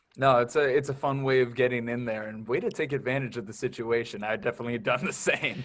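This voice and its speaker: A man's medium-pitched voice at a very fast pace, with hardly any pauses and ordinary pitch variation. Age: 20s. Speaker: radio host. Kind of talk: casual interview chat.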